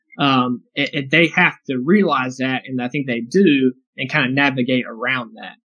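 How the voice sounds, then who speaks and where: A man uses a normal speaking voice at a medium pitch with ordinary pitch variation. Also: moderate pace. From North Carolina, Raleigh area. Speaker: sports reporter. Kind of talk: interview.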